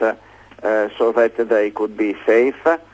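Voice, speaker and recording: This man has an Italian accent and a medium pitch. His delivery is fairly slow and monotone, with flat intonation. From Italy. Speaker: inventor. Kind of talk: interview. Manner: halting, many fillers.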